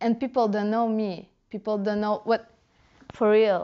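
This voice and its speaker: Her pitch sits fairly high. She is a woman speaking with a Russian accent. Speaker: dancehall culture blogger. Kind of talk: casual interview.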